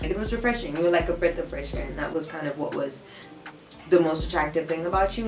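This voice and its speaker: A woman's very fast, animated delivery with lively intonation, music in the background and audible room echo. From South Africa, Durban. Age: 20s. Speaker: YouTuber. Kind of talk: casual chat.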